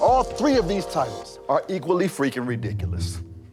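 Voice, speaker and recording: A man talks at a moderate pace, and music can be heard in the background. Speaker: spoken word poet. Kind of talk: spoken word poetry performance. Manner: rhythmic, emphatic.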